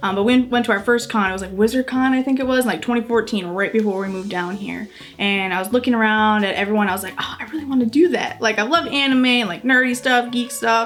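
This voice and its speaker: A woman with an American accent, fairly high in pitch with ordinary variation, very fast with hardly any pauses, over noticeable background noise. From US Midwest, Superior, Wisconsin. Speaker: cosplayer and parent. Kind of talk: casual interview chat.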